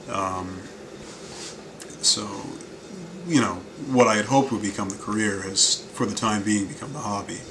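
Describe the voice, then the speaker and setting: Against noticeable background noise and audible room echo, a man with an American accent speaks at a moderate pace and a fairly low pitch, with ordinary pitch variation. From Ohio, Cleveland. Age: 20s. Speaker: special effects hobbyist. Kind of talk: interview monologue.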